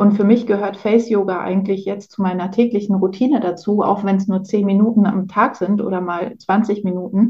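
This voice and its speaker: Speaking at a fairly quick pace with hardly any pauses, a woman sounds somewhat breathy, her intonation monotone and flat. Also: medium pitch for a woman. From Poland, moved to Germany at 8. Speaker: podcast host, naturopath. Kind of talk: casual interview.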